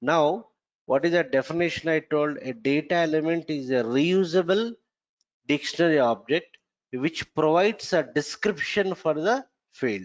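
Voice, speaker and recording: Speaking at a moderate pace with lively intonation, a man has a fairly high pitch and an ordinary speaking voice. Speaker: software trainer. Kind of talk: lecture.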